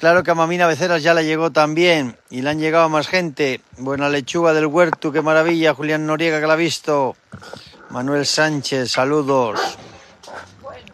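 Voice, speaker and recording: Speaking at a moderate pace, a man with a fairly high pitch comes through dry with no echo over light background noise. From Cantabria, Spain. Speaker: cattle farmer; farm livestream host. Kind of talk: livestream chat. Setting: outdoors. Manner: animated. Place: farm.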